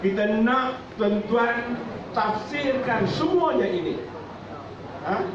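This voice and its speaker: A man speaks at a very slow pace with long, frequent pauses and ordinary pitch variation. Noticeable background noise and audible room echo are present. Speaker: state party chairman. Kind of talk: political speech. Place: cafe. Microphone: camera far.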